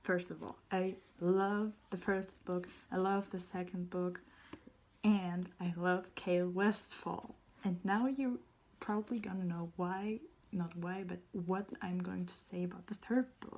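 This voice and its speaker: Speaking fairly slowly in a German accent, a woman keeps a medium pitch and fairly even intonation. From Germany. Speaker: booktuber. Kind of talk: casual vlog review. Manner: halting.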